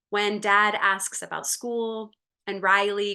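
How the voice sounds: Quiet surroundings behind a natural reading voice.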